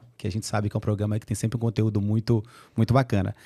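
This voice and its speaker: A man with a Carioca accent and a dark, mellow tone is heard in a dry, close recording with no echo. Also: very clean recording, silent background. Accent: Carioca accent, kept. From Brazil, Rio de Janeiro. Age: 40s. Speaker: HR executive. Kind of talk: podcast interview. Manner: animated.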